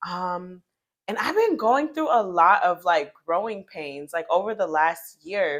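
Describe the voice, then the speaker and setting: This is a woman's voice. Her intonation is lively. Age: 20s. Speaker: lifestyle vlogger. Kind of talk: casual rant to camera. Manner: rambling, filler-heavy.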